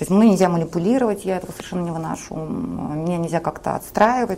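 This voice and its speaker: Over noticeable background noise, a woman at a medium pitch talks at a very fast pace with lively intonation. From Saint Petersburg, Russia. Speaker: entrepreneur and food blogger. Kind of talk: casual interview. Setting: TV studio.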